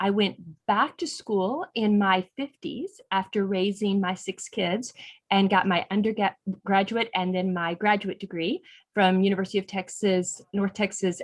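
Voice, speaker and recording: At a moderate pace, an unremarkable speaking voice from a woman, pitched medium, with ordinary pitch variation. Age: 60s. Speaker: non-profit executive director. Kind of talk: online interview.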